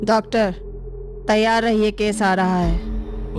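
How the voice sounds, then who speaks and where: Over loud background noise, a woman does a cartoonish character voice at a medium pitch and a fairly slow pace. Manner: calm, cold, unhurried.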